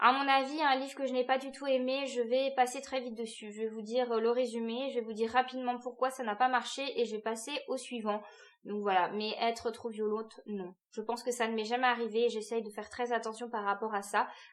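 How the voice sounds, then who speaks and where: A woman's high, flat, monotone voice at a fairly quick pace with hardly any pauses. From France, Alsace. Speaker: book youtuber. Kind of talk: casual vlog talk to camera. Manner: hesitant, many fillers.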